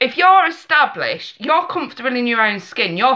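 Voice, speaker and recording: A woman's raised, projected voice in an English accent, high-pitched, with a bright, sharp, animated tone at a moderate pace. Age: 30s. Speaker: tarot reader. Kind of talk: live stream chat. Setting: live webcam stream.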